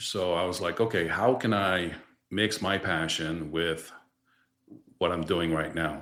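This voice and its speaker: With a Quebec accent, a man with a very deep, low pitch speaks in fairly even intonation, leaving long, frequent pauses, while audible room echo fills the space. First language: French. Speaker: distribution director. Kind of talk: podcast interview.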